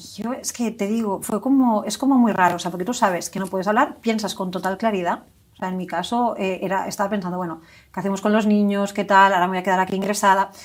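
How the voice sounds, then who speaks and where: On a very clean recording with a silent background, a woman speaks at a very fast pace in a medium-pitched voice with fairly even intonation. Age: 40s. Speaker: stroke survivor, hospital employee. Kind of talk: testimony. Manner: halting.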